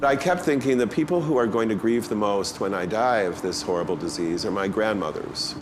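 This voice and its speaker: Here a man speaks fairly quickly in a fairly low voice with very wide pitch swings. Audible room echo and noticeable background noise surround him. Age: 60s. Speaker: activist. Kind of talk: interview.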